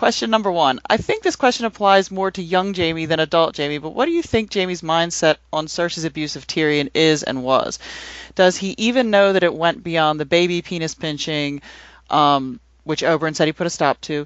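Hers is an ordinary speaking voice: a woman talking fairly quickly at a fairly low pitch with ordinary pitch variation. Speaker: podcast panelist. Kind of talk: casual discussion.

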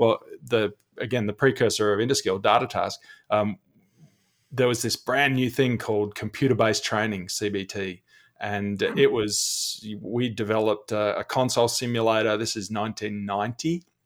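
A man's medium-pitched voice with an Australian accent, moderate in pace and fairly even in intonation. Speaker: e-learning executive and teacher. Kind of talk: casual podcast interview. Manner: friendly, jokey.

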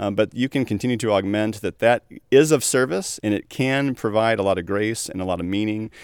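On a very clean recording with a silent background, a man uses an ordinary speaking voice, fairly low in pitch, with ordinary pitch variation at a fairly quick pace. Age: 40s. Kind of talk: casual chat.

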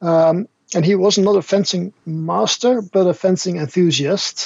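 A man speaks in a Dutch accent. His voice is high, with fairly even intonation. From Netherlands. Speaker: martial arts instructor and translator. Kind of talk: casual interview chat. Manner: halting, repeats words.

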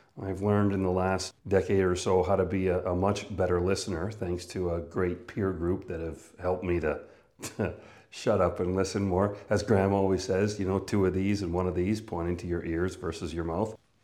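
Audible room echo carries a man's very deep, low voice, dark and mellow in tone and monotone and flat in intonation, in a Canadian accent. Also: moderate pace. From Canada, northern Manitoba. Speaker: business coach and speaker. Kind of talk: personal monologue about career.

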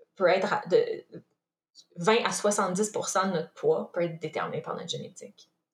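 Her volume rising and falling sharply, a woman speaks at a fairly slow pace. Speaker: nutritionist and former elite athlete. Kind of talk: interview.

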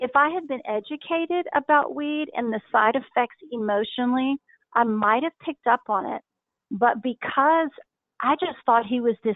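Her voice high in pitch, a woman speaks at a moderate pace with ordinary pitch variation. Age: 50s. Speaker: wife of a recovering addict. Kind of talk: interview. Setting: phone call.

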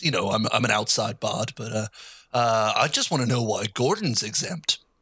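A man does a put-on character voice, raspy and at a medium pitch with ordinary variation. He keeps a moderate pace and very even loudness. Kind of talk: comic improv. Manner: casual, rambling.

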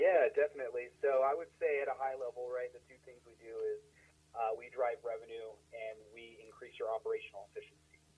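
A man with an American accent talks at a very fast pace, his loudness rising and falling sharply. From Denver, Colorado. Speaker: technology firm founder. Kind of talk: casual interview.

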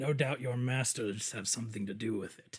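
Putting on a raspy character voice at a medium pitch, a man talks at a fairly quick pace. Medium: actual play. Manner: broken, simple speech.

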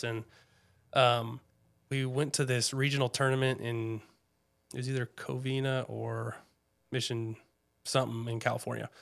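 With an American accent, a man speaks at a moderate pace in monotone, flat intonation, captured in a very clean recording with a silent background. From Washington State, US (Snohomish). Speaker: former pro baseball player, insurance professional. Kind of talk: casual interview chat.

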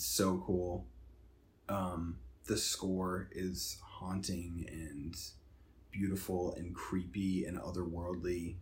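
Somewhat breathy and very slow, a man speaks at a very deep, low pitch with fairly even intonation. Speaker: movie podcast host. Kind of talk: casual chat. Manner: casual, conversational.

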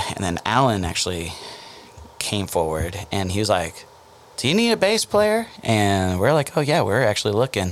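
Fairly low in pitch, a man talks with an American accent and lively intonation. His pace is moderate, and there is noticeable background noise. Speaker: band lead singer. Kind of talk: casual interview. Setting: podcast studio.

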